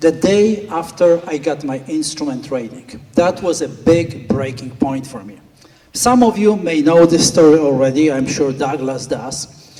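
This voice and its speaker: A Polish accent with ordinary pitch variation over noticeable background noise. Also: man. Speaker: flight school owner and flight instructor. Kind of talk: speech at a gala.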